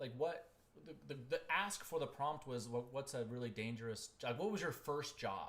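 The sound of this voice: A man speaks at a medium pitch and a moderate pace. His tone is fairly bright, with ordinary pitch variation.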